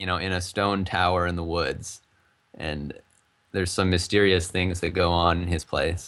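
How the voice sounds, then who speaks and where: A man in an American accent keeps his speech at a moderate pace. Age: 20s. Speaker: game developer. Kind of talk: interview. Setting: live stream interview. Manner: casual.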